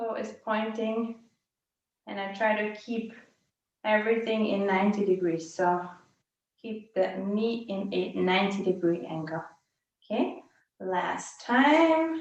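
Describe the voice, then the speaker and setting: A woman talks at a fairly slow pace with long, frequent pauses. Her pitch is fairly high, and audible room echo surrounds her voice. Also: lively intonation. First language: not English. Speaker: fitness instructor. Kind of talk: live workout class instruction.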